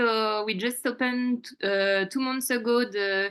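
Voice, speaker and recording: A woman speaks with a French accent against a quiet background. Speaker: restaurant manager. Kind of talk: business presentation at a community meeting. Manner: halting, many fillers.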